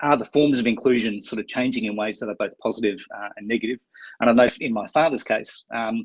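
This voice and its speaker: A man with an Australian accent talks very fast at a medium pitch, his intonation fairly even. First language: sign language. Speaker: university administrator. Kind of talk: webinar presentation. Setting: online webinar. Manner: mumbles sometimes; halting, many fillers.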